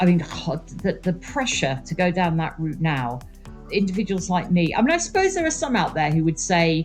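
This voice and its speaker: Music plays behind a woman with a fairly low pitch. She speaks at a moderate pace with ordinary pitch variation. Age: 60s. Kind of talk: interview answer.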